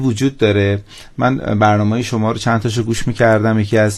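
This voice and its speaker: A man's plain, everyday voice at a medium pitch and moderate pace. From Iran, southeast Tehran. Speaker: entrepreneur. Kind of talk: radio interview.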